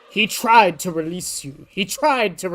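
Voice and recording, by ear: A woman performs a put-on character voice. She keeps a medium pitch and a moderate pace.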